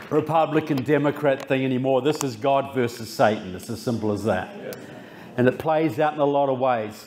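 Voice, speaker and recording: Over noticeable background noise, a man with a New Zealand accent talks at a fairly quick pace in a medium pitch with ordinary pitch variation. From New Zealand, Christchurch. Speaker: author and public speaker. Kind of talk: political speech. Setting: stage with audience.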